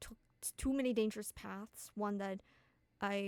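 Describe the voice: Here, someone reads aloud in a plain way.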